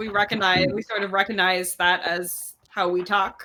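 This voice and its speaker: A woman's medium-pitched voice with a slight Canadian Maritime accent, flat and monotone, at a fairly slow pace. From New Brunswick, Canada. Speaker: tabletop game player. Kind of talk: casual chat.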